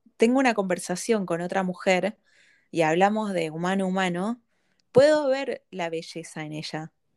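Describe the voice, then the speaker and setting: Lively intonation marks this woman's plain, everyday voice at a medium pitch. The recording is very clean with a silent background and a dry, close sound with no echo. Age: 30s. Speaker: psychology-trained podcast host. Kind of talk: casual conversation.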